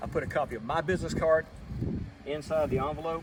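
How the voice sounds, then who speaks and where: There is noticeable background noise. Through it, a man speaks with a fairly high pitch. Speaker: pest control technician. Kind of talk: tutorial. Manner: stuttering; casual.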